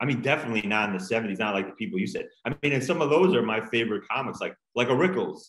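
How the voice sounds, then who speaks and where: A man with an American accent talks at a very fast pace, barely pausing. His medium pitch rises and falls with lively intonation. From Long Island, New York. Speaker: stand-up comedian and author. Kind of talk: casual interview chat. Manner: halting, many repetitions.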